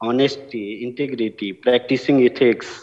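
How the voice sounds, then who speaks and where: A man speaks with a strong Bihari accent. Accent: heavy Bihari Indian English. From India, Bihar (village). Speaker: award-winning alumnus, farmer-focused entrepreneur. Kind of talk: award acceptance speech.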